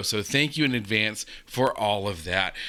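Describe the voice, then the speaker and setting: Over a silent background on a very clean recording, a man talks in a bright, sharp tone with vocal fry. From USA. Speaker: reaction video youtuber. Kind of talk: casual reaction commentary.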